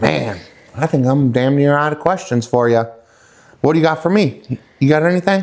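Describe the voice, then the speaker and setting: A man with an American accent talks at a moderate pace in a fairly high voice with ordinary pitch variation. He leaves long, frequent pauses, and his loudness stays very even. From Wisconsin. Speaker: podcast host and truck driver. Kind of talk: casual podcast interview. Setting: outdoors.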